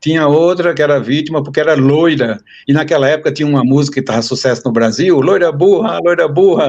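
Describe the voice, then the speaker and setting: A man's fairly high voice at a fairly quick pace, with very even loudness and ordinary pitch variation. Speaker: university professor. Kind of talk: interview conversation.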